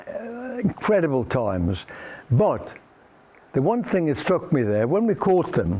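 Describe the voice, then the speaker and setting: Noticeable background noise runs through the clip. The speech comes fairly slowly. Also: man. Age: 80s+. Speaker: nuclear test veteran giving a talk. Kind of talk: presentation to an audience.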